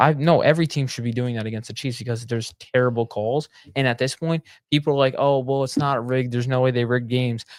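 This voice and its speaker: A man at a very fast pace and medium pitch, in a very clean recording with a silent background. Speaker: sports podcast co-host. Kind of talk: casual chat. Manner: animated.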